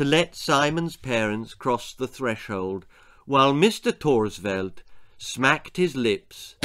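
Lively intonation in a natural reading voice

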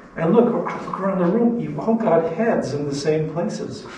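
Light background noise and audible room echo surround a man talking fairly slowly at a high pitch. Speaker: biology professor. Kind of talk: lecture. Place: classroom. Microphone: camera far.

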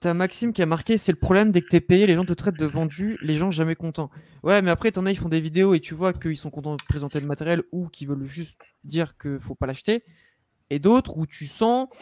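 This man has a high voice, ordinary pitch variation and a fairly quick pace. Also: dry sound with no echo. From northern France, Lille; France. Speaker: vape youtuber. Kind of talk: casual chat. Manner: animated. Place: home room. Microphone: studio mic.

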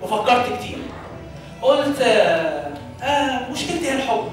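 Clear music plays in the background, and the voice has strong room echo. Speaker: stage actor. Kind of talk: dramatic stage monologue. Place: church. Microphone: camera far.

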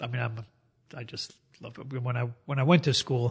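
Very fast and somewhat breathy, a man at a medium pitch talks with fairly even intonation in a dry, close sound with no echo. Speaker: cartoonist. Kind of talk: casual interview.

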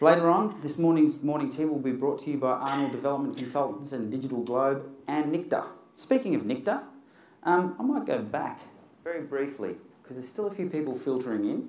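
With an Australian accent, a man talks at a fairly quick pace in a fairly high pitch, and audible room echo can be heard. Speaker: science communicator and event MC; event MC. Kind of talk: live presentation with demonstrations. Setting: stage with audience. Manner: animated. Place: hall.

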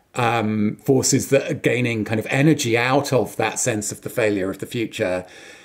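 Here a man speaks with an English accent. His pace is moderate. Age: 40s. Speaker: podcast co-host. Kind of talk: casual chat. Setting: video call.

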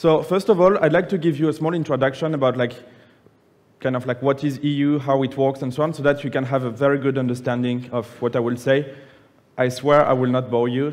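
A man with a French accent at a fairly quick pace, with fairly even intonation. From France (Nice); France. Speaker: public affairs manager presenting policy; conference presenter. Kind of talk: conference presentation. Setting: conference plenary room with audience. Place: hall.

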